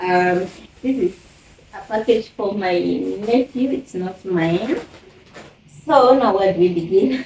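Amid noticeable background noise, a woman talks at a very slow pace with lively intonation and long, frequent pauses. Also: medium pitch for a woman. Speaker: YouTuber, mother. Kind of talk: unboxing haul video, casual. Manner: chatty, with frequent fillers.

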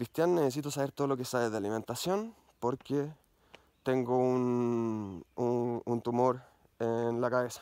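A man talks with a Chilean accent. The sound is dry with no echo, over a quiet background. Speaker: mountain bike YouTuber. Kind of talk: personal vlog monologue. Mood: earnest, reflective. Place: forest. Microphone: phone near.

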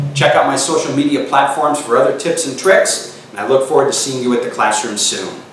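There is audible room echo and light background noise. A man talks at a fairly quick pace. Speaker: chef instructor. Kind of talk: tutorial. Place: kitchen.

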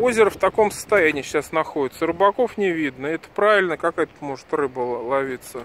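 Over noticeable background noise, a man speaks at a moderate pace with very wide pitch swings and a dry sound with no echo. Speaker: local video blogger. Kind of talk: casual vlog commentary. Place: street. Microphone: phone near.

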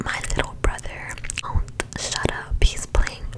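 A woman is whispering. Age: 20s. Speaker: ASMR creator. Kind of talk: ASMR show-and-tell. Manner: soft-spoken. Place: home room. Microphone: studio mic.

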